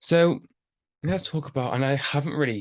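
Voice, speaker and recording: A man mumbling. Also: quiet background. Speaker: fitness coach and podcast host. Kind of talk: casual podcast monologue. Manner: unscripted, halting.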